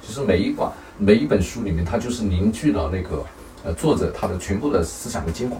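A man at a fairly low pitch and a very fast pace with lively intonation, amid noticeable background noise and audible room echo. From rural China. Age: 50s. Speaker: parent and business owner. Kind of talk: casual chat. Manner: hesitant, many fillers.

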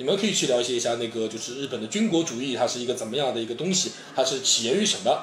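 Over noticeable background noise and audible room echo, a man speaks at a very fast pace with a medium pitch and lively intonation. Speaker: former student in Japan, guest commentator. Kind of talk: casual discussion.

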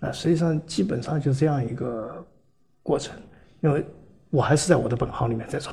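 A man's dark, mellow voice comes out somewhat breathy at a fairly quick pace. He takes long, frequent pauses. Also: ordinary pitch variation. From Guangzhou, China. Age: 60s. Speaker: hardware entrepreneur, engineer. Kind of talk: casual interview.

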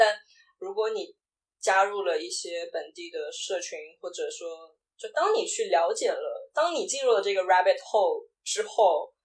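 Speaking at a fairly slow pace, a woman shows big swings in loudness. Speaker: video producer and LGBTQ podcaster. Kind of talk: casual interview chat.

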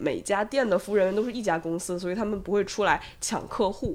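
Using an ordinary speaking voice, a woman talks at a medium pitch, her pitch varying in an ordinary way. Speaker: podcast host. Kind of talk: casual chat.

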